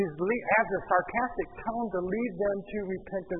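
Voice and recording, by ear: A text is read aloud in a natural voice.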